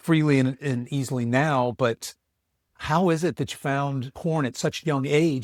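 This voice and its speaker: Using a normal speaking voice, a man talks at a fairly high pitch and a moderate pace, with a dry, close sound with no echo. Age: 60s. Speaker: podcast host and coach. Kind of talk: interview.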